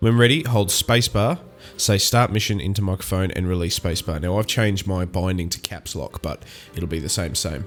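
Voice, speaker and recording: With music in the background, a man in an Australian accent speaks at a moderate pace with ordinary pitch variation. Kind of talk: gaming commentary, reading game text aloud.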